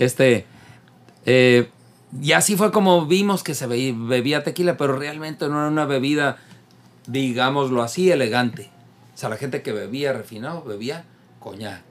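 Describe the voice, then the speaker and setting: Lively intonation marks this man's medium-pitched voice. He moves at a fairly slow pace with long, frequent pauses. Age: 50s. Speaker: drinks expert co-host. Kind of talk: casual chat.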